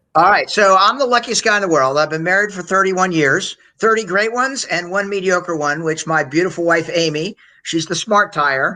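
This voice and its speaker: Against a quiet background, a man with a high pitch uses a raised, projected voice, a bright, sharp tone, ordinary pitch variation and a fairly quick pace. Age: 60s. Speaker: sales executive and author. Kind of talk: podcast interview. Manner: energetic.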